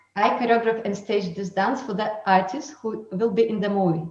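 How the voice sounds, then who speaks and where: With music in the background, a woman's fairly high voice shows ordinary pitch variation. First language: not English. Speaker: dancer and choreographer. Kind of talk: webinar talk. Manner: halting.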